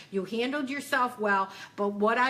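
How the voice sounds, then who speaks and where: A woman speaks at a moderate pace with a fairly high pitch and lively intonation. Noticeable background noise is present. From Western New York, Buffalo. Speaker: psychic and spiritual business coach. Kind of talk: Q&A coaching session. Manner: casual, conversational.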